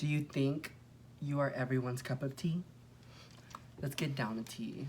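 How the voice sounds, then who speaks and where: The pace is moderate. Long pauses come often. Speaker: YouTuber. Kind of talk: casual chat. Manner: loud.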